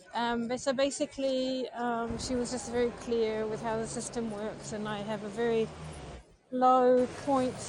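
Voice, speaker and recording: A woman at a fairly high pitch in a monotone, flat intonation, with noticeable background noise. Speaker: vlogger. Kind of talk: live stream chat while walking. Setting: outdoors, walking in the street.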